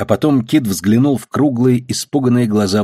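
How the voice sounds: This natural reading voice shows ordinary pitch variation.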